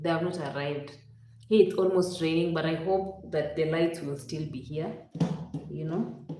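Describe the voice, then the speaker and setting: In a Kenyan accent, a woman speaks at a moderate pace and a fairly low pitch with fairly even intonation, amid noticeable background noise and audible room echo. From Western Kenya. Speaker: YouTube live streamer. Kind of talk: casual live stream chat. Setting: live stream, home.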